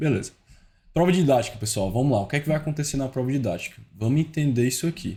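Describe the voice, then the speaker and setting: A man's fairly high, somewhat breathy voice with a dark, mellow tone, ordinary pitch variation and a fairly quick pace. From Brazil, Ceará. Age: 20s. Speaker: teacher giving exam-prep tips. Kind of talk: online tutorial. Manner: informal, fast-paced.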